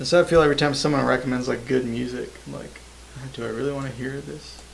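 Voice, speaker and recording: Over noticeable background noise, a man with a slight Southern US accent talks very fast. His loudness swings widely. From US South, Georgia. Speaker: microtonal musician streamer. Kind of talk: casual livestream chat. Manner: casual, halting.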